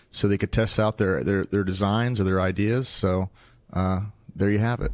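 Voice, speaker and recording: In a very clean recording with a silent background, a man with an American accent and an ordinary speaking voice talks at a fairly low pitch and moderate pace, with ordinary pitch variation. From Wichita, Kansas. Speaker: metals branch manager. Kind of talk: casual interview. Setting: sales meeting in Nashville.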